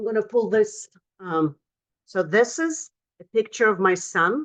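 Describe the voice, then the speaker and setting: With a non-native accent, a woman talks at a fairly slow pace. Her pitch is fairly high and her intonation lively. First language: not English. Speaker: motivational speaker and author. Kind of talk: motivational talk. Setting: virtual event from home office.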